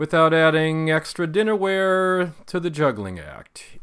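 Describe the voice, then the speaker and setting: A man with an American accent and an ordinary speaking voice, fairly high in pitch and fairly slow in pace, in a very clean recording with a silent background. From US Pacific Northwest. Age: 60s. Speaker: podcaster. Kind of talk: casual monologue.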